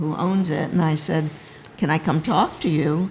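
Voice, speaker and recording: Amid noticeable background noise, a woman speaks at a fairly low pitch with fairly even intonation. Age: 80s. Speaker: sailing school co-founder. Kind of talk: casual chat.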